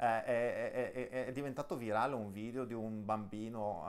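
Monotone, flat delivery from a man with a fairly low pitch at a moderate pace. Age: 30s. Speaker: interview show host. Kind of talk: interview. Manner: halting, many repetitions. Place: home room. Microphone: video call.

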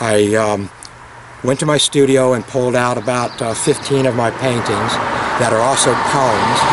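A man speaks at a moderate pace. The sound is dry with no echo, but the background noise is loud. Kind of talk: interview answer. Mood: earnest, reflective. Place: street. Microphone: camera far.

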